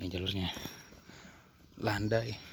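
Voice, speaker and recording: A man speaks in a fairly low pitch with a monotone, flat delivery and a somewhat breathy quality. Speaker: hiking vlogger. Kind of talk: vlog narration while hiking. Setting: outdoors on mountain trail.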